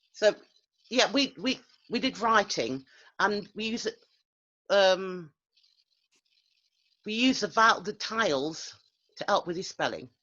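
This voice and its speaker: A woman of medium pitch speaks with lively intonation, vocal fry and a bright, sharp tone. Her pace is fairly slow, with long, frequent pauses over a quiet background. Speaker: English teacher. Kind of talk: recounting teaching experience in group coaching. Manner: halting, many fillers and repetitions.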